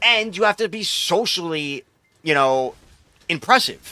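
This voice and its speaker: A man with an American accent talks in an animated, bright and sharp tone, with a fairly high pitch and very wide pitch swings. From New York. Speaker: video game streamer. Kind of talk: casual chat. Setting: live stream.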